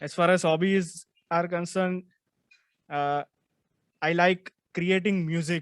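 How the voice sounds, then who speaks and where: A man with a Gujarati accent, a high pitch, monotone, flat intonation and a very slow pace, in a dry, close sound with no echo. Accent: Indian English (Gujarati). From India, Gujarat. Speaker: lawyer and law student. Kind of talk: self-introduction.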